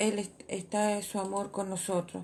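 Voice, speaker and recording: At a fairly slow pace, a woman speaks at a medium pitch in a somewhat breathy voice with a dark, mellow tone. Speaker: church women's radio host. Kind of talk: sermon. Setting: church radio broadcast. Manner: stutter.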